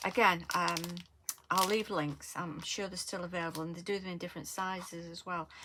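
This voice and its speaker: A woman with a Lancashire accent, fairly low-pitched and bright, sharp in tone, her intonation fairly even. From northern England, Lancashire. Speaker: craft tutorial creator. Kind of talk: tutorial. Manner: casual, hesitant with many fillers.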